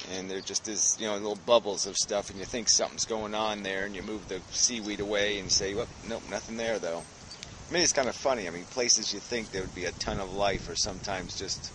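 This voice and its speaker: The speech comes at a very fast pace with fairly even intonation, a dry sound with no echo, and noticeable background noise. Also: man, fairly low pitch for a man. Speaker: vlogger. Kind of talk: casual vlog chat. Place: forest. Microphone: phone near.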